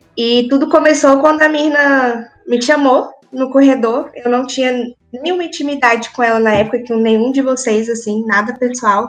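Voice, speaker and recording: A woman's high-pitched voice shows ordinary pitch variation as she talks at a moderate pace. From Brazil, countryside. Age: 20s. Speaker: dental student. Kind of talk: casual chat.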